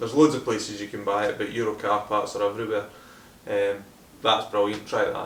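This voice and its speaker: A man with a Scottish accent talks at a fairly quick pace and a fairly low pitch. His intonation is monotone and flat, with audible room echo. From Scotland, Hamilton near Glasgow. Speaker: car detailing YouTuber. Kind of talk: Q&A video, casual chat.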